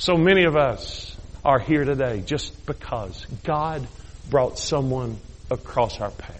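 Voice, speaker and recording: Room echo is audible as a man speaks at a very slow pace. His voice is fairly high and somewhat breathy, with ordinary pitch variation. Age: 50s. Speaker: bishop, guest preacher. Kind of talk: sermon. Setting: church service. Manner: animated.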